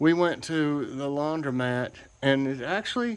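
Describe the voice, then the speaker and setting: The pitch variation is ordinary. The voice belongs to a man. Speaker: home vlogger. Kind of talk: casual vlog chat. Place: street. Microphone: phone near.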